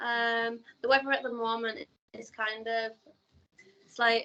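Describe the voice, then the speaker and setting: A woman speaks with a Yorkshire accent. Her pitch is fairly high and her intonation fairly even. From northern England, Leeds, Yorkshire. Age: 20s. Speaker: beauty pageant contestant and influencer. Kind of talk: interview. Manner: hesitant, many fillers.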